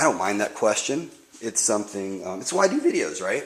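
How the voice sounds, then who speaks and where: A man speaks at a fairly quick pace. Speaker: RC hobby YouTuber. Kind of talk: casual tutorial monologue. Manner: hesitant with fillers.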